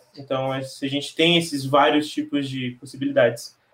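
A man at a medium pitch and a moderate pace. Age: 20s. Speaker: poet. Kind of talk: panel discussion.

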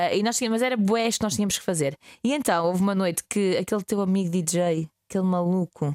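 Her loudness very even, a woman talks at a very fast pace in a dry, close sound with no echo. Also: medium pitch for a woman, ordinary pitch variation. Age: 20s. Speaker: radio host. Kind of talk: casual chat.

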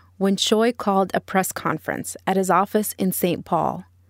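A woman speaks at a medium pitch and moderate pace in a plain, everyday voice. The sound is dry and close with no echo, on a very clean recording with a silent background. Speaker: podcast reporter. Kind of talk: scripted narration. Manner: serious, measured.

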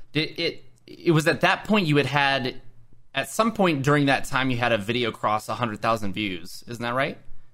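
A man speaks with an American accent at a moderate pace. His medium pitch carries lively intonation and a bright, sharp tone. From Oklahoma. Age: 20s. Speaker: podcast host. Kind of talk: casual interview chat.

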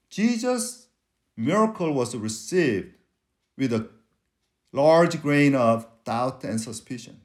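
A man with a Korean accent speaks very slowly in a fairly high voice, with long, frequent pauses and very wide pitch swings. The recording is very clean, with a silent background. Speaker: preacher. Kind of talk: sermon. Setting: church.

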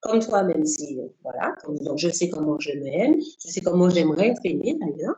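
A woman with an unremarkable speaking voice, fairly low in pitch, talks at a moderate pace with lively intonation and hardly any pauses. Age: 50s. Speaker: civil servant and life coach. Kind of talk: interview.

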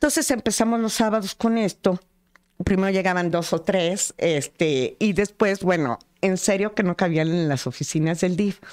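The woman's medium-pitched voice moves in a lively way at a moderate pace, its loudness very even. The sound is dry and close, with no echo. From Mexico, Apizaco, Tlaxcala. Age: 60s. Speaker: school director and educator. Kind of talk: interview conversation. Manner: halting, with frequent fillers.

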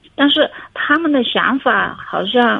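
A woman's voice over noticeable background noise. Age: 30s. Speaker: caller seeking relationship advice. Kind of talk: call-in advice conversation. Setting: phone call. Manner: halting. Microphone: choppy phone line.

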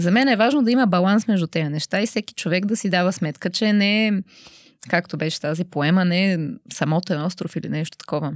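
Speaking at a very fast pace, a woman uses medium pitch and ordinary pitch variation in a dry, close sound with no echo on a very clean recording with a silent background. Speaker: arts program officer. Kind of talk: casual interview.

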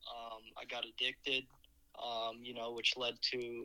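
An American accent comes through as a man speaks in a bright, sharp tone. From Minnesota, US (Eagan). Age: 19. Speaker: podcaster in addiction recovery. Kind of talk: personal testimony. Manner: hesitant, frequent filler words.

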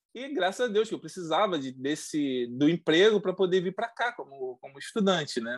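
A man's high-pitched voice at a fairly quick pace, with very wide pitch swings and big jumps in loudness against a quiet background. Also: hardly any pauses. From Brazil, coastal region. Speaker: former oil industry worker, immigrant. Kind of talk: casual interview. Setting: video call.

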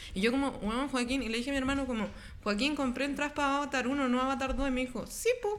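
Her voice is high-pitched, with a Chilean accent. The woman talks at a very fast pace. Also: ordinary pitch variation. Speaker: podcast guest. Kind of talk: casual chat.

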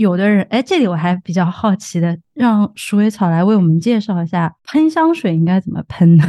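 In a plain, everyday voice, a woman talks at a moderate pace and medium pitch with lively intonation and hardly any pauses. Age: 30s. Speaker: podcast host. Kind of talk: casual interview.

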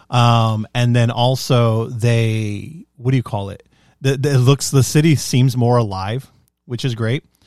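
At a fairly slow pace and with fairly even intonation, an ordinary speaking voice comes through on a very clean recording with a silent background. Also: man, medium pitch for a man. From US, Mexican-American, parents from Mexico. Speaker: podcast co-host. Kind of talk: casual chat.

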